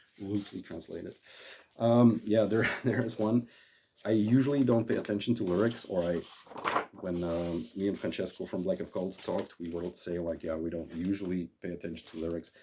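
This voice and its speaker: With a Dutch accent, a man talks at a fairly quick pace in a very deep, low pitch with ordinary pitch variation. Noticeable background noise runs underneath. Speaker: vinyl collector and YouTuber. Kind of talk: casual monologue about record collection. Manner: halting, many fillers.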